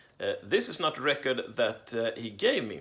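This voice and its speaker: A man with a Swedish accent and a medium pitch speaks at a moderate pace. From Sweden. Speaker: record collector vlogger. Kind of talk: casual unboxing monologue. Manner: halting with many fillers.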